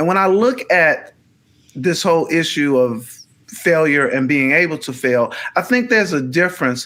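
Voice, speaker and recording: Bright and sharp in tone, this man's fairly high voice moves at a fairly slow pace with lively intonation. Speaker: podcast co-host. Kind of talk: casual conversation. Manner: halting, repeats words.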